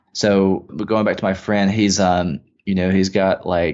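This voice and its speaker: The pace is very slow. The intonation is monotone and flat. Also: man. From Mississippi. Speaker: affiliate marketing entrepreneur. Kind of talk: interview. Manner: casual, filler-heavy.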